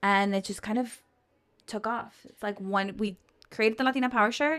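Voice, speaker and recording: In a very clean recording with a silent background, a woman with an American accent talks in a fairly high pitch, her pitch varying in an ordinary way while her loudness swings widely. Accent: South Texas Mexican American English. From Brownsville, Texas border region (from Matamoros as a child). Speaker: business co-founder. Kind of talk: interview conversation.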